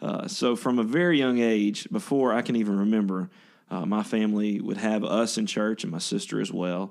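The speaker has a Louisiana accent and talks at a moderate pace. The background is quiet. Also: man. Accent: Southern US (Louisiana). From northern Louisiana (Ruston). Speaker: worship pastor. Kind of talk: casual interview.

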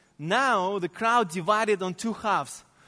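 In a raised, projected voice, a man speaks at a fairly slow pace with a high pitch. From Central Asia. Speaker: sports ministry leader. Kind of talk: sermon. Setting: church.

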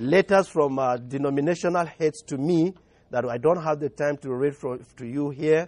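This man speaks with a Nigerian accent at a fairly slow pace, his pitch fairly high with ordinary variation. The sound is dry and close, with no echo. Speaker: pastor. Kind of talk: sermon. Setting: church.

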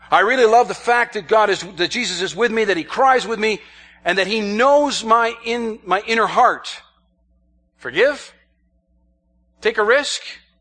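Projecting his voice loudly, a man with an American accent speaks in a high pitch with a bright, sharp tone, ordinary pitch variation and long, frequent pauses. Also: moderate pace. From New York State, US. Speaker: missionary. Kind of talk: sermon.

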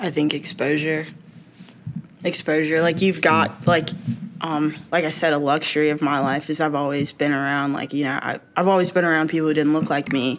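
At a moderate pace, a woman speaks in a very deep, low pitch. Her intonation is monotone and flat. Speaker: recent graduate and church member. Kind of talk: casual chat.

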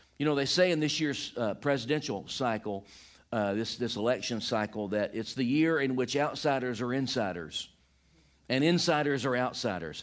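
With a Southern US accent, a man speaks at medium pitch and a moderate pace. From US Deep South, Georgia. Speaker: visiting pastor. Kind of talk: sermon. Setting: church.

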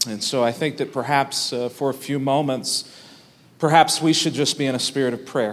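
A man talks at a moderate pace in a normal speaking voice. His pitch is fairly high and his intonation fairly even. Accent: American. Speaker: pastor. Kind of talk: sermon. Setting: church.

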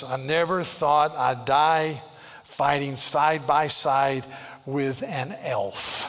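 A man's put-on character voice, gruff and fairly high, at a very slow pace

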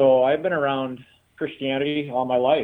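In a normal speaking voice, a man talks at medium pitch and a fairly quick pace. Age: 60s. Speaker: pastor. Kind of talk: interview.

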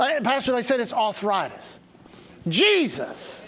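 A man's voice against noticeable background noise. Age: 60s. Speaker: pastor. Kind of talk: sermon. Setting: church with congregation. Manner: animated.

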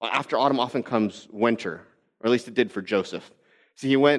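Over a quiet background, a man with a medium pitch speaks at a very fast pace with fairly even intonation. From Texas. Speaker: pastor. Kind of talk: sermon. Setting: church.

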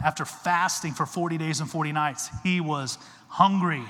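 A man is speaking at a fairly high pitch. The pitch variation is ordinary. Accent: Texan. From Texas. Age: 40s. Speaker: guest preacher, former Olympic wrestler. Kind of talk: evangelical Sunday sermon with slides, conversational and rallying. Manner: casual, chatty asides seeking crowd agreement.

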